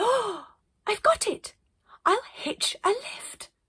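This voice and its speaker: A woman puts on a character voice, pitched extremely high and delivered at a very slow pace. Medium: read story.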